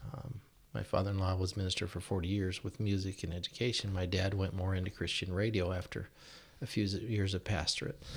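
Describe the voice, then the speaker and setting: Speaking fairly quickly, a man uses a very deep, low, somewhat breathy voice. He has an American accent and fairly even intonation. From Washington State, US (Yakima). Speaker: church deacon. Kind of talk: casual chat.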